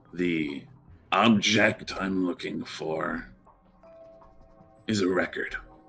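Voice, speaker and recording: A man's put-on character voice, raspy and very deep, at a very slow pace with long, frequent pauses and faint music in the background. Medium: actual play. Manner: guarded, terse.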